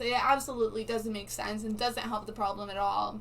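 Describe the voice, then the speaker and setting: A woman with a non-native accent speaks at a fairly high pitch. Her tone is animated and her pace fairly quick. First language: not English. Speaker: live streamer. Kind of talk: casual live stream chat.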